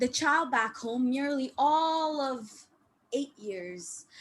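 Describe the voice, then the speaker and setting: A woman is speaking. Her pitch is high. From Malaysia. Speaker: open mic poet. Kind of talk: poetry reading. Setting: online video call.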